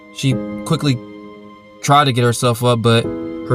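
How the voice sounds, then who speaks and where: A man at medium pitch, moderate pace, music in the background. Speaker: author and voice actor. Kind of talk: audiobook horror narration.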